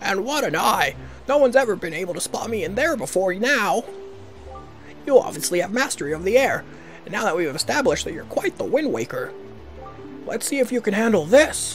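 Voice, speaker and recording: Putting on a character voice pitched high, a man talks at a fairly quick pace with long, frequent pauses while music plays clearly in the background. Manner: boastful, taunting, anime-like.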